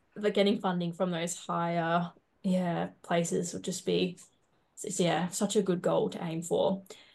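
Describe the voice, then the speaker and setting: Slowish and flat, a woman with a fairly low pitch speaks in a monotone with vocal fry. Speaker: podcast co-host. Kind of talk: interview.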